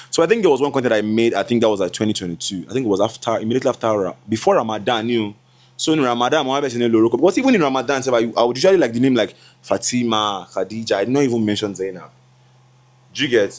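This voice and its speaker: Very fast male speech with ordinary pitch variation, a very clean recording and a silent background. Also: medium pitch for a man. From Nigeria. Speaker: content creator and MC. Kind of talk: casual chat, get-to-know-me vlog. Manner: stammers when talking a lot; mumbling at times.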